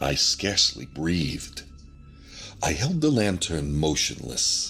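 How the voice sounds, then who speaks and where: Music plays in the background as the man's pitch swings very widely. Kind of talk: ASMR horror story reading. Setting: binaural recording. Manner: not whispered.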